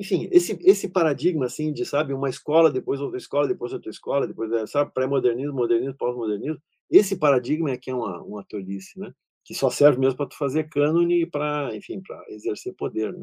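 This man speaks very fast at a fairly high pitch, his dark, mellow tone carrying lively intonation and big swings in loudness, with a dry, close sound that has no echo. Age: 60s. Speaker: literature professor. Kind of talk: lecture.

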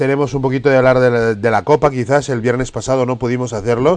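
Noticeable background noise accompanies a man talking fairly quickly at a medium pitch. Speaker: radio football show host. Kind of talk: sports talk radio.

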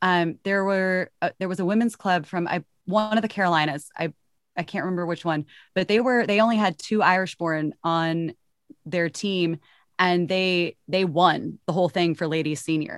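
Pitched fairly low, a woman with a Texan accent speaks with fairly even intonation in a dry, close sound with no echo. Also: moderate pace. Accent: Texan American. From Texas. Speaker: club player. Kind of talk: casual chat. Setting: video call, home studio. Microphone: professional closed-in setup.

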